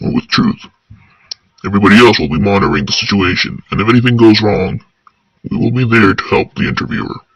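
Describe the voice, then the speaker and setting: A man speaks in a put-on character voice. His pace is fairly quick. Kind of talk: audio drama narration.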